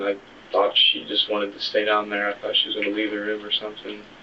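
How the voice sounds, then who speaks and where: Soft-spoken, a man talks in a fairly low, monotone voice with flat intonation. Noticeable background noise is present. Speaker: murder suspect. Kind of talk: police interrogation. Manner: halting.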